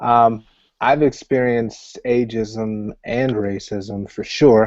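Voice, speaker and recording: Ordinary pitch variation with an American accent. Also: man. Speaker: self-employed professional, panelist. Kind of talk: panel discussion.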